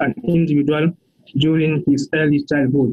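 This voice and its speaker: With a French accent, this man has a fairly high pitch and a dark, mellow tone. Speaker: researcher. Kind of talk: conference presentation. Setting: pre-recorded video presentation.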